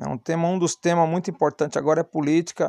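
Heard in a dry, close sound with no echo, a man speaks at a fairly high pitch. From Brazilian Northeast. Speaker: podcaster. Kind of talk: personal monologue. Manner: halting, many fillers.

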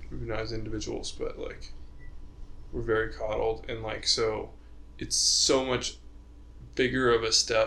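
A speaker with an American accent talks amid audible room echo. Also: man. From Utah. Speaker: podcast host, engineering student. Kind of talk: casual chat.

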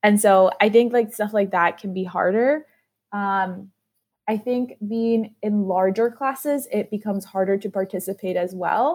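A woman's medium-pitched, fairly slow delivery in an ordinary speaking voice, with ordinary pitch variation, on a very clean recording with a silent background. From South Florida, US (born in Peru). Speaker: MBA student, student government co-president. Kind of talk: casual interview chat.

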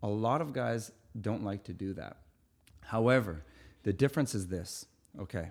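A man with a Canadian accent speaks at a moderate pace in a fairly low pitch, his intonation lively and broken by long, frequent pauses. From Winnipeg, Manitoba, Canada. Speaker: fitness coach. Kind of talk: casual interview chat.

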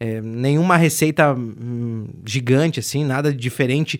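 A man with a plain, everyday voice speaks at a medium pitch with fairly even intonation on a very clean recording with a silent background. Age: 20s. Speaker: radio host. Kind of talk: casual chat. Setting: bar table.

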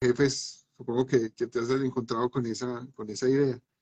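With a dark, mellow tone, a man speaks at a moderate pace using fairly even intonation. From Medellín, Colombia. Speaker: philosopher, musician and university teacher. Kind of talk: live online talk show. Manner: halting, many repetitions.

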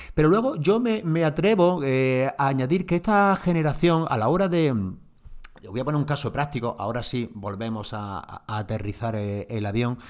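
Hardly pausing at all, a man with a fairly high pitch talks at a moderate pace with very wide pitch swings. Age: 40s. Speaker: marketing podcast host. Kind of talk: solo podcast talk on marketing. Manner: hesitant, many fillers and repeats.

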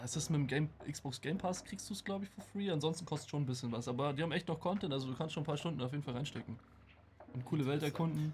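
A man with a fairly high voice talks at a very fast pace, somewhat breathy, with ordinary pitch variation. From Germany. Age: 20s. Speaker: occasional streamer and game designer. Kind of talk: casual chat.

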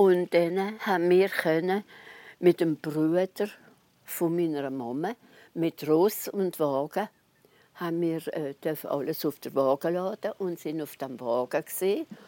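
Speaking very slowly with long, frequent pauses, a woman has a fairly low pitch, ordinary pitch variation and a dark, mellow tone. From Alsace, near Basel. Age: 90s. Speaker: eyewitness of wartime evacuation. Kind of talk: personal recollection interview. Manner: halting.

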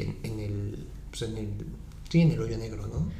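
Moving at a moderate pace, a man's voice comes with audible room echo and noticeable background noise. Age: 20s. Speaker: podcast host. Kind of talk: casual interview.

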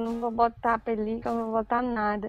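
A woman's fairly high voice, an unremarkable speaking voice, at a moderate pace. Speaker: YouTuber and blogger. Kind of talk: casual chat.

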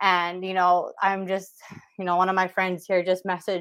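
Against a quiet background, a woman with an ordinary speaking voice speaks at medium pitch and a fairly quick pace. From Saskatchewan, Canada (Whitecap Dakota First Nation). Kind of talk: interview.

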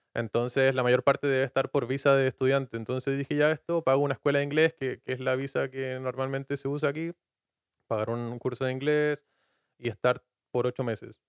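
Speaking at a fairly quick pace, a man with a medium-pitched voice keeps his intonation flat and monotone in a dry, close recording with no echo. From Chile, Patagonia (Puerto Natales). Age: 20s. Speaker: podcast guest. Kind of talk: casual chat.

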